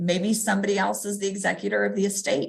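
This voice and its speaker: Speaking at a fairly quick pace with a Texas accent, a woman has a medium pitch and vocal fry. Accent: Texas Southern US. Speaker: real estate agent. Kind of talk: live stream tutorial. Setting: livestream. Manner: fast.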